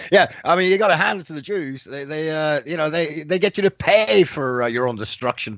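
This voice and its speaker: A man with an Irish accent, fairly high pitch and lively intonation, at a fairly quick pace with hardly any pauses. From Ireland. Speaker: radio host. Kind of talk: interview.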